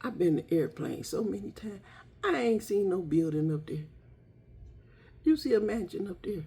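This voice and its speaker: The voice has a dark, mellow tone, somewhat breathy, with lively intonation. It moves at a moderate pace with long, frequent pauses. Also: woman, medium pitch for a woman. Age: 60s. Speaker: lifestyle vlogger. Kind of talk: casual makeup tutorial. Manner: chatty, conversational.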